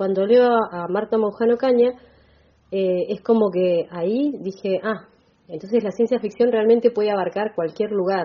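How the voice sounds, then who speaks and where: With ordinary pitch variation, a normal speaking voice moves along at a moderate pace. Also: woman, medium pitch for a woman. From Argentina, Bahía Blanca. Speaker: writer and teacher. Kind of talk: radio interview.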